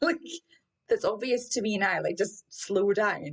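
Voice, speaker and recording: Her voice is somewhat breathy, with very wide pitch swings. This woman speaks in a Scottish accent at a fairly slow pace. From Scotland. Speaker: running mindset coach. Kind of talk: podcast personal story. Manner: casual, candid.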